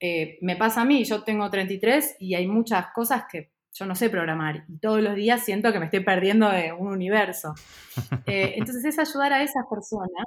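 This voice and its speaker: A woman with an Argentine accent, medium-pitched, with lively intonation, at a moderate pace. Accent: Rioplatense Argentine Spanish. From Argentina, raised in Buenos Aires. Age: 30s. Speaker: startup founder and CEO. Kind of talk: interview. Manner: hesitant, many fillers.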